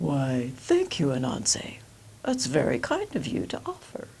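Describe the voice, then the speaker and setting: Over clear background noise, a woman performs a put-on character voice at a fairly slow pace. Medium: read story. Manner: courteous.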